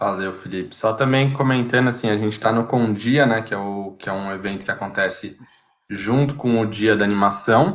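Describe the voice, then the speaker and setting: A man speaks at a medium pitch and a moderate pace in a normal speaking voice, with ordinary pitch variation. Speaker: live chat moderator. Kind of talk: casual chat. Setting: online live stream.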